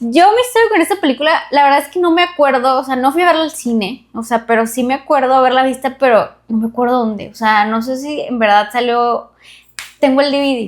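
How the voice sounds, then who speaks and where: Fairly quick speech from a woman, high in pitch with ordinary variation. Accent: Monterrey. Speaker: podcast co-host. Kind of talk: casual chat. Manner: animated.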